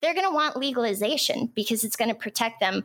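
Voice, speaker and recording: Fairly high in pitch, a woman talks in a plain, everyday voice with ordinary pitch variation. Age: 30s. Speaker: cannabis business advisor. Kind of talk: casual interview.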